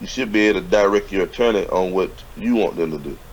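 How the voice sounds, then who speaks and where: This speaker, with a Southern US accent, moves along at a fairly quick pace. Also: man. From US South. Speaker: business mentor. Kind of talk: casual chat. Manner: animated.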